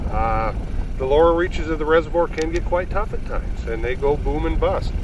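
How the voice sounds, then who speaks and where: There is noticeable background noise. An audible room echo surrounds the voice. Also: man. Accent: American. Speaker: fishing guide or outdoors TV angler. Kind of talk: outdoor fishing show commentary. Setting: ice fishing on a frozen lake.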